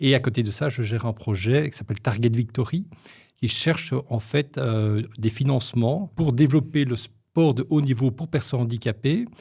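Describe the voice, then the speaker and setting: Somewhat breathy, a man's dark, mellow tone comes through on a very clean recording with a silent background. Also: medium pitch for a man, ordinary pitch variation, moderate pace. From Belgium, Brussels (Molenbeek). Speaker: media and marketing consultant. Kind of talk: podcast interview. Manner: hesitant, with false starts.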